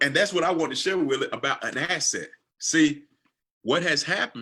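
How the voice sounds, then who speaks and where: A man with an American accent talks at a fairly quick pace. His high voice has a bright, sharp tone and ordinary pitch variation. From US South, Georgia. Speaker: financial coach. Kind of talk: livestream chat.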